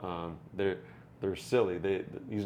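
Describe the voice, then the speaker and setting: Through audible room echo, a man with an American accent talks at a moderate pace with a very deep, low pitch and ordinary pitch variation. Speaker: podcast co-host, fish keeper. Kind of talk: casual chat. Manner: animated.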